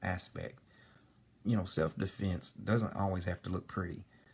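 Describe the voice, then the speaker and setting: A man's very deep, low-pitched voice, somewhat breathy. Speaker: martial arts instructor. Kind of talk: casual vlog monologue. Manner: halting, many fillers.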